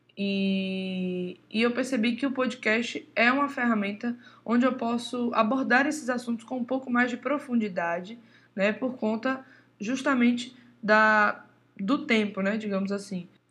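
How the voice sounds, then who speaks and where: A woman speaks in a plain, everyday voice at a fairly high pitch with ordinary pitch variation. Her pace is fairly slow, and the background is quiet. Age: 20s. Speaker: podcast host, drummer and music teacher. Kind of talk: casual monologue.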